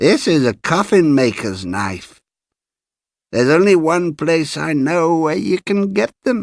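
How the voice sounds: In a very clean recording with a silent background, a put-on character voice speaks slowly with lively intonation and vocal fry. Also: man, fairly high pitch for a man.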